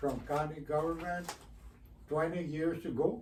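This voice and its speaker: Somewhat breathy man's voice at a fairly high pitch, with audible room echo. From Texas (Eagle Pass, border town). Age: 80s+. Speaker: community activist. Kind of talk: radio interview. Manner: halting, many fillers and repetitions.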